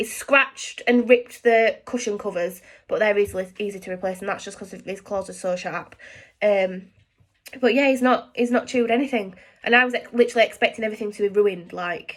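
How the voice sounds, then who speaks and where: A woman with a Yorkshire accent speaks fairly quickly at a fairly high pitch, her intonation fairly even but her loudness swinging widely, in a very clean recording with a silent background. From Yorkshire, England. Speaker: lifestyle vlogger. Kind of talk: casual chat. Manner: fast, with many fillers and restarts.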